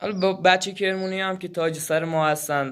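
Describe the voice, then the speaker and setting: A man speaks at a fairly quick pace. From Iran, Kerman. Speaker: gaming YouTuber. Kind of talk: channel introduction; gameplay commentary. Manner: stumbling over words; casual, informal.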